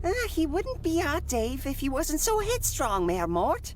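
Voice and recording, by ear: A high-pitched cartoonish character voice moves at a moderate pace over clear background noise.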